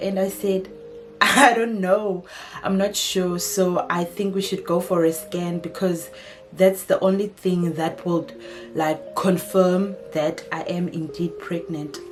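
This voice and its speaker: A woman with a South African accent speaks very slowly at medium pitch with ordinary pitch variation. Music plays in the background. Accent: South African (Xhosa). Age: 20s. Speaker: lifestyle YouTuber. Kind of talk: casual talk to camera.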